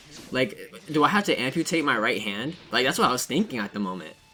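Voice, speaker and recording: Bright, sharp tone in a man's voice. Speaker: gaming youtuber. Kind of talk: casual gameplay commentary. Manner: stuttering; casual, rambling filler words.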